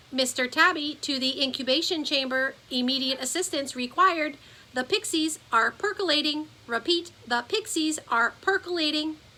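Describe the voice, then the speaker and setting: In a put-on character voice, a woman sounds robotic and nasal, high-pitched, moving at a moderate pace with hardly any pauses. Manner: flat, mechanical.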